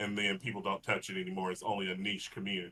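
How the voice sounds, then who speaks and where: The speaker is a man. He talks in a Texas accent. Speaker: fighting game podcast co-host. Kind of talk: casual chat.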